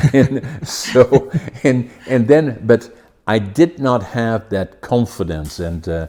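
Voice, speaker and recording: Speaking very slowly with a Dutch accent, a man uses lively intonation. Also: medium pitch for a man. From Netherlands. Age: 80s+. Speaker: podcast host. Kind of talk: interview conversation.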